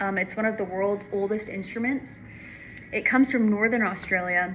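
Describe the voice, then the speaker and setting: Medium pitch for a woman, with fairly even intonation. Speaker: student giving a class presentation. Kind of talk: class presentation. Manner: slow; halting with many fillers.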